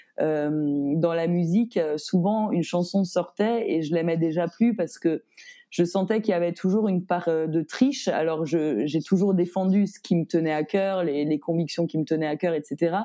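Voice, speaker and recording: A woman speaks in a dark, mellow tone at a fairly low pitch. Her pace is fairly slow. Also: ordinary pitch variation. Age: 30s. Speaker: author and singer. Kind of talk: casual interview chat.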